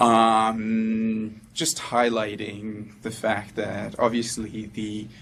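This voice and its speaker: A man speaks in a monotone, flat intonation. Audible room echo hangs around his voice. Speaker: anesthesia resident doctor. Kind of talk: medical lecture. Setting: presentation room with audience. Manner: halting, many fillers.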